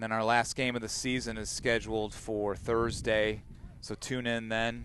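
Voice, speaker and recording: A man talks with an American accent. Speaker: baseball play-by-play announcer. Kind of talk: live commentary. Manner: loud.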